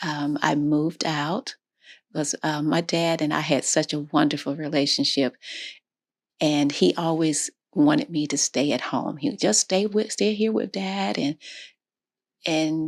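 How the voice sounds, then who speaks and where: With an American accent and a very deep, low pitch, a woman talks at a fairly slow pace with ordinary pitch variation and long, frequent pauses, in a dry, close sound with no echo on a very clean recording with a silent background. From Florida. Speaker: interviewee sharing life story. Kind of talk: interview. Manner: halting.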